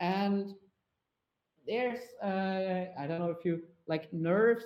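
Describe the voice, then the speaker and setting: With a German accent, a man speaks at a fairly slow pace and ordinary pitch variation. Audible room echo surrounds his voice. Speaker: motion designer presenting a talk. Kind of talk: Q&A after a conference talk. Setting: virtual VR conference, online. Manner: halting, many fillers.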